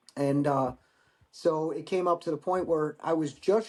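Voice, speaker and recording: A man in a normal speaking voice. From Michigan. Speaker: war veteran. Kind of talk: casual chat.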